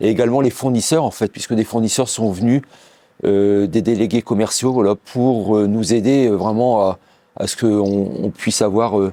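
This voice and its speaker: A man talks at a moderate pace with fairly low pitch. His tone is dark and mellow, and his intonation fairly even. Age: 60s. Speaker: business owner. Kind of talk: company presentation interview. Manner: halting, many hesitations.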